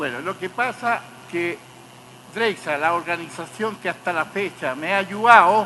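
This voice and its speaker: A man with a high pitch and ordinary pitch variation at a fairly slow pace, over noticeable background noise. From Chile. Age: 80s+. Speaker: torture survivor, witness. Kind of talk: court testimony. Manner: halting.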